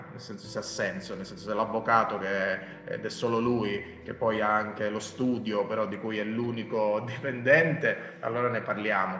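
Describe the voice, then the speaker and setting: Audible room echo and noticeable background noise accompany a man who speaks at a fairly quick pace. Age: 30s. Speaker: LinkedIn expert and author. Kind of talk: casual interview. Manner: halting, many repetitions.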